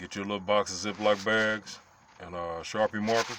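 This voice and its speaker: Noticeable background noise runs under the voice. A man speaks at a fairly low pitch and a moderate pace. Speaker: car restorer. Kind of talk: tutorial. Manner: animated.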